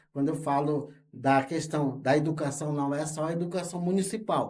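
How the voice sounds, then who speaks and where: Audible room echo surrounds a man's voice. He speaks at a fairly high pitch and a fairly slow pace. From Brazil, Rondônia (Amazon). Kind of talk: interview. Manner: halting, with fillers.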